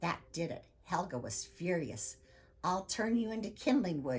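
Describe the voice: Lively intonation carries this plain reading aloud.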